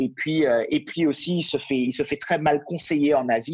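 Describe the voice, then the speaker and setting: A man talks at a moderate pace in a fairly high voice. The sound is dry and close, with no echo. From Martinique. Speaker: real estate consultant. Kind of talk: interview. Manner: halting, many fillers.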